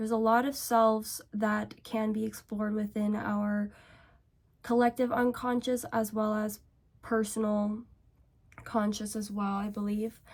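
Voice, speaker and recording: A woman's fairly high, somewhat breathy voice, monotone and flat, at a fairly slow pace. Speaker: beauty and self-help vlogger. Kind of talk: casual get-ready-with-me rant.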